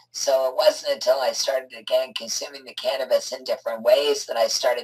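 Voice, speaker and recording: A woman's fairly quick speech plays with music behind it. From Canada. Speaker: medical cannabis advocate. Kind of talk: interview.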